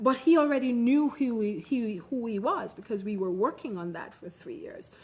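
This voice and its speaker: Fairly high in pitch, a woman talks at a moderate pace with very wide pitch swings. Noticeable background noise runs underneath. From Jamaica. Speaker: personal branding expert. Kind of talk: conference talk with audience Q&A.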